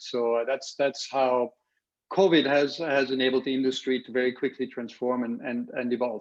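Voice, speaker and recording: Moderate in pace, a man talks. His pitch sits at a medium level. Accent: German. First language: German. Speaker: revenue management software evangelist. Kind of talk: casual interview.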